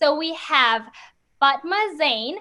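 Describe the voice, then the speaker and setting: A woman projects a raised voice with a bright, sharp tone in a very clean recording with a silent background. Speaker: student podcast host. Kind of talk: casual podcast chat. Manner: hyper, energetic; loud.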